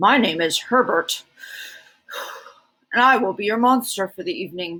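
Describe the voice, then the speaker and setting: A woman uses a put-on character voice with a fairly high pitch. She speaks at a moderate pace. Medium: read story. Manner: formal, mild.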